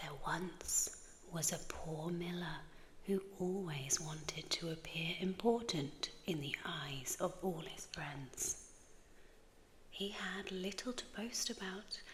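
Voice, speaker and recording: Speaking softly with an English accent, a woman talks at a very slow pace and fairly low pitch amid noticeable background noise. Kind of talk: sleep story. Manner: soft-spoken.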